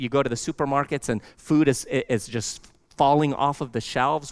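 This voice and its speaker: With an American accent, a man speaks in an unremarkable speaking voice at a medium pitch and moderate pace, with fairly even intonation. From Lebanon until age four, then US. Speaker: pastor. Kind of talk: sermon. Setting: church.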